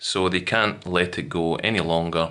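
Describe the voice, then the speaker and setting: On a very clean recording with a silent background, a man with a Scottish accent speaks in a bright, sharp tone at a very deep, low pitch. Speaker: English teacher. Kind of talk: educational lesson to camera.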